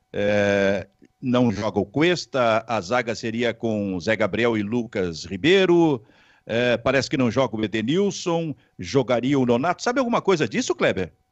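A man's lively intonation, dry with no echo, over a quiet background. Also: fairly slow pace. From Rio Grande do Sul, Brazil. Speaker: sports talk show host. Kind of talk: sports talk show. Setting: online video stream. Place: home room. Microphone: handheld.

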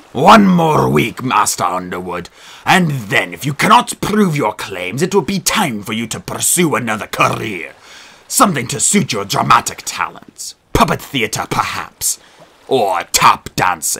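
A man uses a put-on character voice at medium pitch. He speaks at a moderate pace with very wide pitch swings. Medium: read story. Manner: pompous, scornful.

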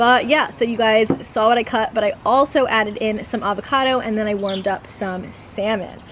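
Over light background noise, pitch varies in an ordinary way as a woman speaks at a fairly quick pace. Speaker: lifestyle vlogger. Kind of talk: casual vlog chat. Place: garden. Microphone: camera far.

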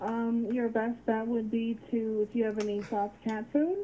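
A fairly slow pace, ordinary pitch variation and a dark, mellow tone. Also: woman, fairly high pitch for a woman.

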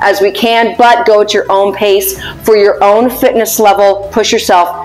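A woman's voice over faint background music. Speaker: fitness coach. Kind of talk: workout intro instructions. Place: gym.

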